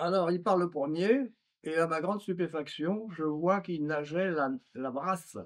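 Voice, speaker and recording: High-pitched man at a fairly slow pace with ordinary pitch variation. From France. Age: 90s. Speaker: former navy mine-clearance diver. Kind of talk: testimony. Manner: hesitant with fillers.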